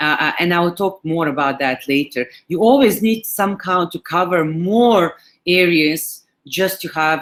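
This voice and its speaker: Speaking at a fairly slow pace with a Serbian accent, a woman uses lively intonation. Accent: Serbian accent, noticeable. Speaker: digital marketing manager. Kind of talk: webinar presentation. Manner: halting, many fillers.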